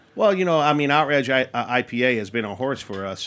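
With a New York accent, the voice runs at a very fast pace with ordinary pitch variation. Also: man. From Queens, New York. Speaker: brewery owner. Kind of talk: casual chat.

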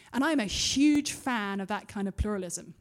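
A woman with an English accent, fairly high in pitch, dark and mellow in tone, at a moderate pace in a very clean recording with a silent background. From UK. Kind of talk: conference talk; audience Q&A. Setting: stage with audience.

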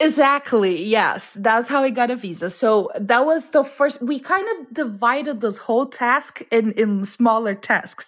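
With a Portuguese accent, a woman speaks at a high pitch with lively intonation and hardly any pauses. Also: fairly slow pace. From Brazil (Amazon region). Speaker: home cook, cooking competition winner. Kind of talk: interview.

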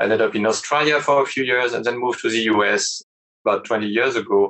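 Talking at a very fast pace, a man speaks with a French accent. His intonation stays fairly even. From France. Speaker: startup CEO. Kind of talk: interview.

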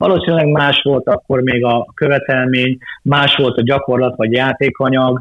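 At a moderate pace, a man talks in a medium pitch. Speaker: football coach and federation official. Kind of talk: interview. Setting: remote call. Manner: halting, with frequent repeated words.

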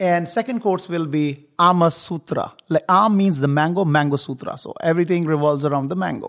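A man speaks with a high pitch and ordinary pitch variation. He hardly pauses at all. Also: fairly quick pace. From northern India, Himalayan foothills. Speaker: executive chef. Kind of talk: casual chat.

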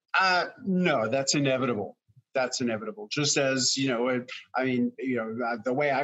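Speaking at a moderate pace with an American accent, a man has a medium pitch, ordinary pitch variation and a plain, everyday voice. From New York City. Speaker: fermentation author and teacher. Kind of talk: casual interview. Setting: video call.

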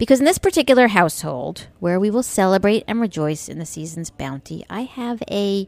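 Speaking at a moderate pace with an American accent, a woman uses a medium pitch with very wide pitch swings. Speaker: radio show host. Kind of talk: satirical monologue. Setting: radio studio. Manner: sarcastic-sounding.

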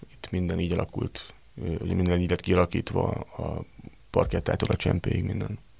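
A man speaks at a moderate pace. His very deep, low pitch holds a fairly even intonation. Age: 30s. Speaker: restaurant manager. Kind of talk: interview.

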